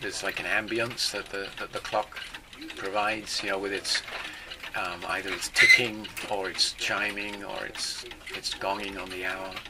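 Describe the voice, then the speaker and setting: Noticeable background noise runs under a man talking at a moderate pace. His pitch is fairly low and his intonation monotone and flat. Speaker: clock repairer. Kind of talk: interview answer.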